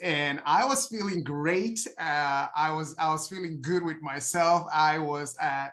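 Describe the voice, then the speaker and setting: Very slowly, a man with a Nigerian accent talks at a fairly high pitch with ordinary pitch variation. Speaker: health coach. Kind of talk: testimony. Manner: halting, many fillers.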